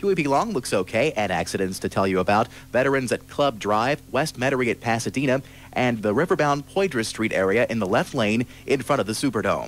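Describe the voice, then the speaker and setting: At a fairly quick pace, a man speaks in a dry sound with no echo. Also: lively intonation. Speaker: radio traffic reporter. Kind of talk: radio traffic report. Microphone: old recording.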